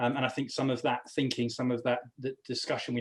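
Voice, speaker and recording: Speaking very fast at medium pitch, a man talks with an English accent. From England. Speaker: business executive. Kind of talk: panel discussion.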